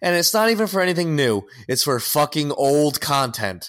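A man speaks at a moderate pace with a fairly high pitch. His pitch swings very widely, and the recording is very clean with a silent background. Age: 30s. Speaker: podcast co-host. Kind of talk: casual chat.

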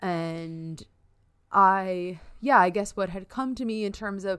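On a very clean recording with a silent background, a woman speaks in an ordinary speaking voice. Her pitch is medium, with ordinary variation. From New York. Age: 30s. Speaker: podcast host, astrophysicist. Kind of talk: casual chat.

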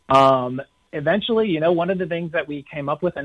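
A man with an American accent speaks at a very fast pace with ordinary pitch variation. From New York City area. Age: 40s. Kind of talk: interview.

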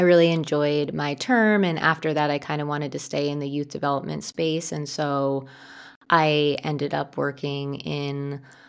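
On a very clean recording with a silent background, a woman speaks with an American accent. Her very deep, low pitch follows a fairly even intonation. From New Jersey suburb, US. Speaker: podcast co-host, urban planner. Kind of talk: casual chat.

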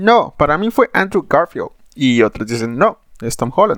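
A man with a Mexican accent, fairly high pitch and very wide pitch swings at a fairly slow pace, in a dry, close sound with no echo. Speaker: podcast host. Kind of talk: casual monologue. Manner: animated.

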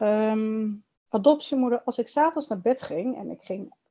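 Her pitch is fairly high with ordinary variation. The woman talks at a very slow pace. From Netherlands. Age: 40s. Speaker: adoptee sharing her story. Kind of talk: interview testimony.

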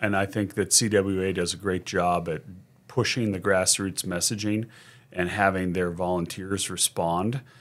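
A man with a very deep, low voice talks at a moderate pace, captured in a very clean recording against a silent background. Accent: American. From Sacramento, California. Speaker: contract lobbyist. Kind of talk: casual interview.

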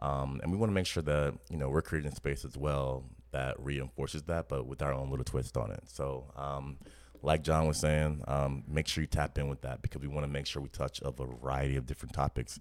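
A man's very deep, low voice in a New Orleans accent, fairly quick, with fairly even intonation. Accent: New Orleans Southern US. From New Orleans, US South. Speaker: podcast co-host. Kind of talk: casual chat.

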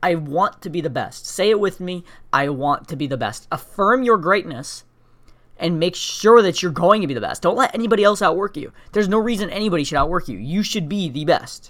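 Lively intonation marks this man's high-pitched voice as he speaks at a fairly quick pace. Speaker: podcast host. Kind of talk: motivational monologue. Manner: fast; high energy.

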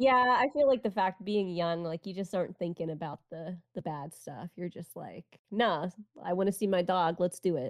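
Using an ordinary speaking voice, a woman talks at a moderate pace and fairly low pitch with ordinary pitch variation and big swings in loudness, the sound dry and close with no echo over a quiet background. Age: 30s. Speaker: anime podcast co-host, streamer. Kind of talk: casual chat.

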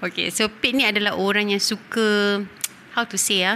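A woman with a medium pitch and a bright, sharp tone speaks at a moderate pace. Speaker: podcast host. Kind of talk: casual chat.

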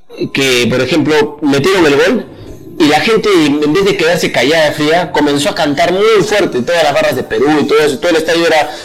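Noticeable background noise and audible room echo surround a man's voice. His pitch is fairly high, with lively intonation. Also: very even loudness. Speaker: podcast co-host. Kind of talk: casual chat. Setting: live stream.

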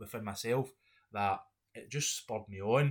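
A man speaks in a Scottish accent, somewhat breathy. The recording is very clean with a silent background. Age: 30s. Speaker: podcast host. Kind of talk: solo monologue. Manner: halting.

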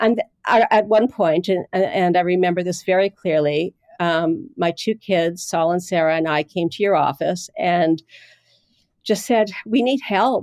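In a dry, close recording with no echo, a woman with a Manitoban accent talks at a medium pitch and a fairly slow pace, her pitch varying in an ordinary way. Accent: Canadian (Manitoba). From Canada, Winnipeg North End. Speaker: journalist and editor. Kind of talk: interview.

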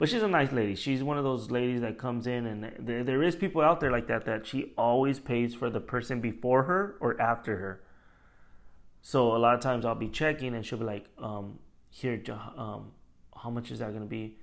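Talking at a fairly quick pace, a man has an unremarkable speaking voice at a medium pitch with ordinary pitch variation. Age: 30s. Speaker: podcast host. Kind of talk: casual chat.

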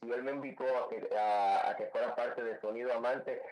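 Audible room echo and noticeable background noise surround a man who keeps a moderate pace. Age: 50s. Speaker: salsa DJ and singer. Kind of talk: radio interview.

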